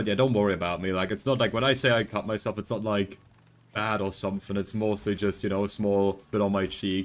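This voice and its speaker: With music playing behind him, a man talks at a very fast pace in a fairly low pitch. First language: not English. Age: 20s. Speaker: vtuber streamer. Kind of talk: casual gaming livestream chat. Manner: animated.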